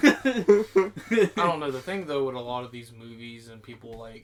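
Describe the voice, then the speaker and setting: There is noticeable background noise as a man talks at a moderate pace with lively intonation. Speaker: podcast co-host. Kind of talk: casual chat. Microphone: far from the mic, echoey.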